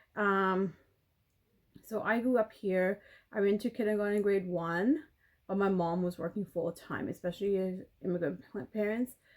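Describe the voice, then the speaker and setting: A woman speaks with a Canadian accent at a medium pitch. Her pace is moderate and her pitch varies in an ordinary way. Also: long, frequent pauses. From Canada. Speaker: beauty vlogger. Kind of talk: casual chat. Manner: halting.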